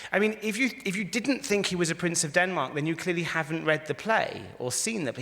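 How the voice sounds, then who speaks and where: A man's high-pitched voice with an English accent, fairly quick and lively, with hardly any pauses. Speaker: rabbi and philosopher giving a talk. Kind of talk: lecture. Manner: conversational, interactive.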